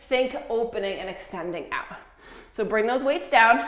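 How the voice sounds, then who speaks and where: Fairly high-pitched female voice with ordinary pitch variation, audible room echo, and noticeable background noise. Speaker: yoga instructor. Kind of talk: guided workout class. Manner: instructional, paced with breath cues.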